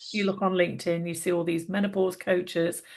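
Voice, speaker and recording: Fairly quick speech from a woman with a fairly low pitch. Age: 60s. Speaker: nutrition and lifestyle practitioner. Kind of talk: interview. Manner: hesitant, self-correcting.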